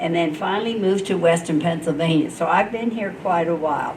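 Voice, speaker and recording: A woman's lively intonation, with audible room echo and noticeable background noise. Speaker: retired nurse, civic league member. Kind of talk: panel storytelling. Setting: panel with student audience.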